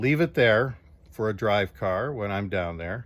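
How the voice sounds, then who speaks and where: Someone with a Chicago accent talks at a fairly slow pace in a very clean recording with a silent background. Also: man. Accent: Midwestern American (Chicago area). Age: 60s. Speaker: retired steelworker, car owner. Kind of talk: personal video appeal, storytelling. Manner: halting, with fillers.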